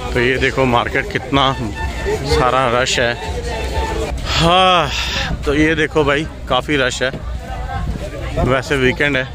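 Over clear music in the background, a man speaks at a very slow pace with long, frequent pauses. The sound is dry with no echo. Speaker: food vlogger. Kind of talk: casual vlog chat. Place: beach. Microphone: phone near.

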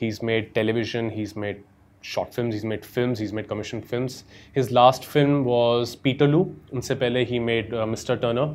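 The man's intonation stays fairly even. He keeps a moderate pace. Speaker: guest. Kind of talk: casual commentary. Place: home room.

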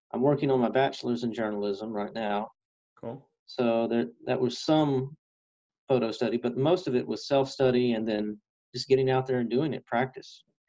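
A dark, mellow tone with a Texan accent, ordinary pitch variation, a moderate pace and a quiet background. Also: man. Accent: Texan American. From East Texas. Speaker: radio reporter and photographer; interviewee. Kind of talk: interview. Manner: hesitant with fillers. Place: office. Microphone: webcam.

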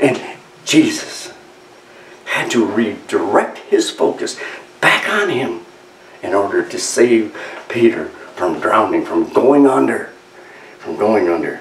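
A man talks at a very slow pace with long, frequent pauses. There is audible room echo and light background noise. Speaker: preacher. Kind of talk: sermon. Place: church.

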